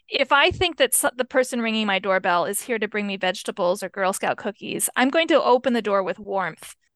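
A woman's fairly high voice with an American accent, an unremarkable speaking voice, at a fairly quick pace with hardly any pauses and lively intonation, over a quiet background. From rural US. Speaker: author and chaplain. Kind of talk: interview.

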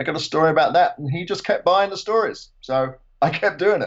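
With an English accent, a man talks using ordinary pitch variation. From England. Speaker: retired motorsport museum director and author. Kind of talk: casual chat.

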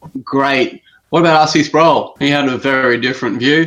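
A man with an Australian accent, fairly high in pitch, with fairly even intonation. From Australia, Brisbane area. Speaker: caller. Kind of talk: call-in discussion.

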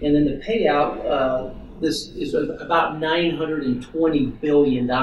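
A man speaks very slowly at a fairly high pitch. Audible room echo and noticeable background noise surround him. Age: 40s. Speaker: financial planner. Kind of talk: interview.

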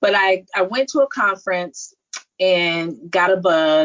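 Heard here is an ordinary speaking voice, and its pitch varies in an ordinary way. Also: woman. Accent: American. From California, Silicon Valley. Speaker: nurse practitioner and entrepreneur. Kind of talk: interview.

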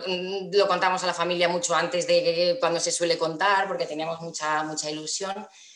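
Amid noticeable background noise and audible room echo, a woman speaks at a fairly low pitch. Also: hardly any pauses. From Castilla-La Mancha, Spain (Toledo). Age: 30s. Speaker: mother sharing birth story. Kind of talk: personal testimony interview.

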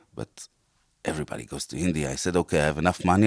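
A man's very deep, low voice is heard against total silence in a very clean recording. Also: dry, close sound with no echo. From Israel. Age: 40s. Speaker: chef. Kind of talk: interview. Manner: halting.

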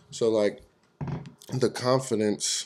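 The background is silent and the recording very clean. A man talks in an American accent. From California. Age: 20s. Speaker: professional rodeo roper. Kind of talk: casual interview chat.

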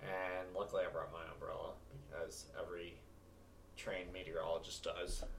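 Over noticeable background noise, a man talks at a fairly quick pace, broken by long, frequent pauses. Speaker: weather forecaster podcast host. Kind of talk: casual chat.

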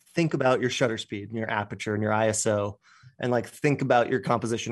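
In an American accent, a man talks at a very fast pace and medium pitch. His intonation stays fairly even over a quiet background. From Colorado, US. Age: 30s. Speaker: outdoor photographer. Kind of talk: casual interview chat.

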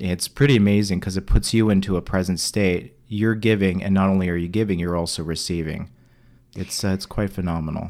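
A man at a fairly quick pace with fairly even intonation, on a very clean recording with a silent background. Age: 30s. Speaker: alternative health practitioner. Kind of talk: interview. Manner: halting.

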